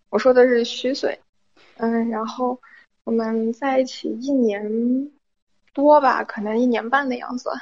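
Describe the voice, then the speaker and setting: Her high pitch held in a monotone, flat intonation, a woman speaks at a fairly slow pace with long, frequent pauses. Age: 20s. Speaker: caller. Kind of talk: phone-in confession. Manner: halting.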